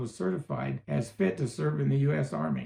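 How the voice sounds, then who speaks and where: This man speaks with a western US accent. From Utah. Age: 70s. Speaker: storyteller. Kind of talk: reading aloud.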